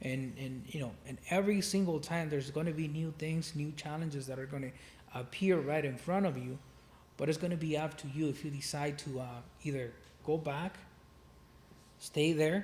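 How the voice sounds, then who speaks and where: Speaking with a Spanish accent, a man with a fairly high pitch moves at a moderate pace with fairly even intonation and long, frequent pauses. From Mexico City. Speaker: real estate investor. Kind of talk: casual interview.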